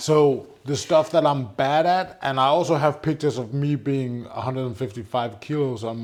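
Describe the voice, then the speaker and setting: Moderate pace with ordinary pitch variation. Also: man. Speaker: entrepreneur. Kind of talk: casual chat.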